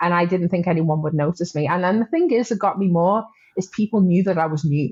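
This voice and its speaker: A woman talks at a fairly quick pace. Her pitch sits fairly low. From northern England, Wirral near Liverpool. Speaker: recovering alcoholic guest. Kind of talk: testimony.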